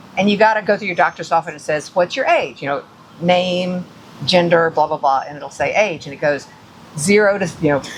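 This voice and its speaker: Amid noticeable background noise, a woman with an American accent and fairly low pitch talks at a fairly quick pace, with ordinary pitch variation and big swings in loudness. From US South, Atlanta. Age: 60s. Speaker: podcast co-host. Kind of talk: casual chat. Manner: animated.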